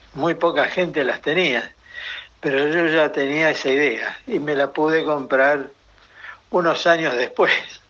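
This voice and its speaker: Over noticeable background noise, a man speaks at a fairly slow pace with a fairly high pitch and fairly even intonation. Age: 70s. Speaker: retiree. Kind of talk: interview answers.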